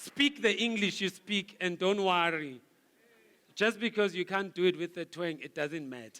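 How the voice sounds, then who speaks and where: Speaking at a moderate pace, a man uses a raised, projected voice that is high-pitched for a man, with a bright, sharp, animated tone, lively intonation and big swings in loudness. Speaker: guest speaker, marketing director. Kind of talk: motivational speech. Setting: gala dinner with audience.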